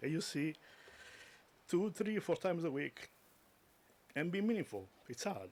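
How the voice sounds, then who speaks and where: A man speaks with a non-native accent and very wide pitch swings. The recording is very clean and the background silent. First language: not English. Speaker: eulogy speaker, friend of the deceased. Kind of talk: eulogy. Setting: memorial service.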